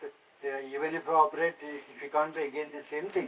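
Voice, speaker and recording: Over noticeable background noise, a man with a fairly high pitch talks at a moderate pace. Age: 80s+. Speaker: conference speaker sharing personal story. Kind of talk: personal talk to an audience.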